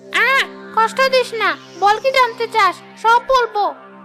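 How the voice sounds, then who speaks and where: Over clear music in the background, a female-sounding, cartoonish character voice speaks at a moderate pace with an extremely high pitch. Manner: hostile, spiteful.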